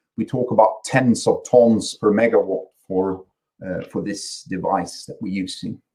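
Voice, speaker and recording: A man speaks with a slight Swedish accent. His loudness swings widely. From Sweden. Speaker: company chief executive. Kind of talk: conference presentation. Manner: halting, many repetitions and fillers.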